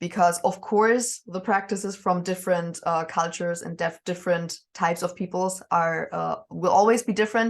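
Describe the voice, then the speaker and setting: A woman at a moderate pace, medium-pitched, with a slight German accent, against a quiet background. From northern Germany, near Danish border. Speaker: witch and Norse pagan. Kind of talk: interview. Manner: hesitant, many fillers.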